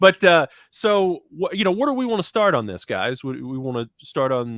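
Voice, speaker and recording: At a moderate pace, a man speaks in a high pitch with very wide pitch swings. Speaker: podcast host. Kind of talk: casual chat. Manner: halting, stuttering.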